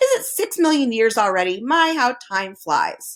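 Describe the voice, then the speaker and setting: Using a put-on character voice, a woman speaks at a moderate pace. Her pitch is high and swings very widely. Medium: read story. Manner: suspicious muttering.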